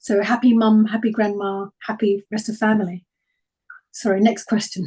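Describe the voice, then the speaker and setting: A woman with a somewhat breathy, dark, mellow tone speaks at a moderate pace and fairly high pitch with monotone, flat intonation. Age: 60s. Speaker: health speaker. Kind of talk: webinar Q&A answers.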